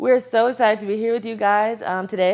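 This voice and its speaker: A woman talks at a very fast pace. Her voice sits fairly high in pitch. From West Texas (San Angelo). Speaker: lifestyle vlogger. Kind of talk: casual chat.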